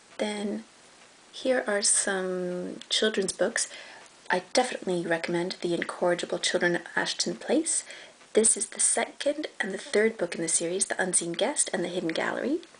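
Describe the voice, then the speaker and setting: The speaker moves at a moderate pace with lively intonation. Noticeable background noise sits behind the voice. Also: woman, medium pitch for a woman. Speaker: book reviewer. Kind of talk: casual talk to camera.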